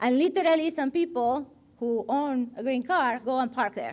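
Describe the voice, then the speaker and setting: On a very clean recording with a silent background, a woman with a Spanish accent speaks at a moderate pace and a high pitch, with ordinary pitch variation. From Argentina. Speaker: designer. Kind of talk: guest lecture with slides. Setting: stage with live audience. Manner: halting.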